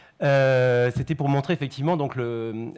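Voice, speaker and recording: The delivery is fairly quick, with ordinary pitch variation. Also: man. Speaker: bank risk manager. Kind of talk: conference presentation. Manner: fast.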